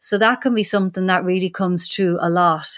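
A woman with a strong Irish accent speaks at a medium pitch. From Ireland. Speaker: animal communicator. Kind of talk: interview.

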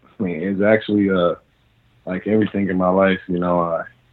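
A very deep, low-pitched man with an American accent and flat, monotone intonation. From US Midwest, Cincinnati, Ohio. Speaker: professional football player. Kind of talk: casual interview. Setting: phone call.

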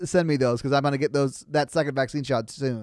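Captured in a very clean recording, the man's voice stands against a silent background. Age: 30s. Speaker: podcast host from a sister show. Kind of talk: casual chat.

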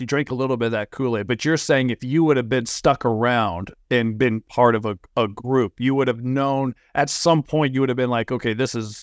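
A man with a normal speaking voice of medium pitch talks at a moderate pace in a dry, close sound with no echo. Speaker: podcast host. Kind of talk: casual interview. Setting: video call. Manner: filler-heavy, rambling.

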